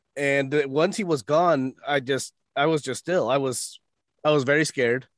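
In an unremarkable speaking voice, a man of medium pitch uses fairly even intonation, recorded with a dry, close sound and no echo. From United States, born in Mexico. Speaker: voice actor and podcast host. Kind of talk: storytelling in casual interview.

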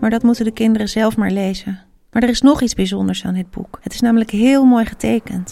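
The reading is done in an unforced reading voice.

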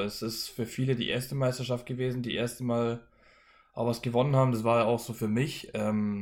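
Recorded very cleanly with a silent background, a man speaks at a medium pitch and a moderate pace in a monotone, flat intonation. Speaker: professional ice hockey player. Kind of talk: interview.

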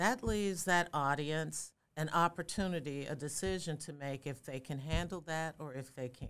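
With an American accent, the voice shows ordinary variation in pitch. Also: woman, very deep, low pitch for a woman, moderate pace. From Chicago, South Side. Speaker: diversity and inclusion consultant. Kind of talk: interview conversation.

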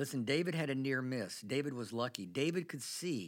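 In a normal speaking voice of medium pitch, a man talks at a moderate pace with ordinary pitch variation. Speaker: pastor. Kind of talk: sermon.

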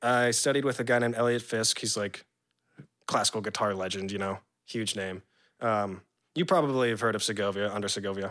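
A man's fairly low voice in an American accent, an unremarkable speaking voice with ordinary pitch variation and a fairly quick pace. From San Diego, California. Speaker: classical guitarist. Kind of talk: casual chat.

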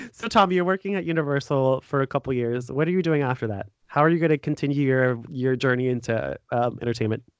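A man with an American accent at a medium pitch, ordinary pitch variation, a very fast pace and hardly any pauses, in a dry, close sound with no echo. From United States. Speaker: podcast host. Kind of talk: casual interview. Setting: remote call.

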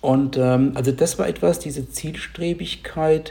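A man with a medium pitch and a dark, mellow tone speaks very slowly, somewhat breathy, with ordinary pitch variation. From near Heidelberg, southwest Germany. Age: 50s. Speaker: software company employee and start-up founder. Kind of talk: casual interview about personal story. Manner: hesitant, many filler sounds.

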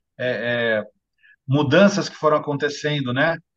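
Ordinary pitch variation from a man talking at a fairly slow pace. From Santos, São Paulo state, Brazil. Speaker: bookseller and author. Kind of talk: interview conversation. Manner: halting, frequent word repetitions. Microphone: lower audio quality due to bad internet.

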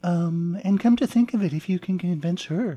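A woman's fairly low, somewhat breathy voice with a dark, mellow tone, lively intonation, a moderate pace and an American accent. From southern Arizona, US. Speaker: author. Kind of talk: interview.

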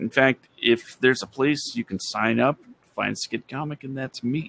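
A man with a normal speaking voice talks at a moderate pace and medium pitch, with ordinary pitch variation and a dry, close sound with no echo. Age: 30s. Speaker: podcaster. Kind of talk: casual chat.

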